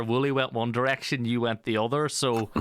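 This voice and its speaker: A man with a strong Irish accent. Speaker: esports caster and interviewer. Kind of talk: interview.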